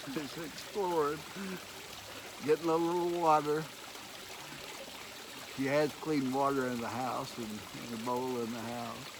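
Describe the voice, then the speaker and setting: Over noticeable background noise, a man with a Texan accent talks at a fairly slow pace with long, frequent pauses, using a fairly high pitch and ordinary pitch variation. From East Texas. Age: old. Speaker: retired teacher and geologist. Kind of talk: casual talk to camera. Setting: outdoors.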